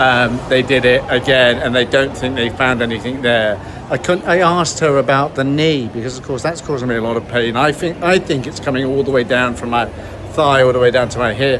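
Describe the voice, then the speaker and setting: Here a man speaks fairly quickly at medium pitch with fairly even intonation. There is noticeable background noise. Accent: British. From Britain. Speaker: vlogger. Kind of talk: vlog narration. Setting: hospital, walking around. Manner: casual, hesitant with fillers.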